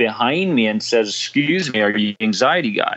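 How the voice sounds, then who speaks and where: This is a man with a normal speaking voice. He keeps a moderate pace with ordinary pitch variation. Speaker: anxiety coach and podcaster. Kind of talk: interview.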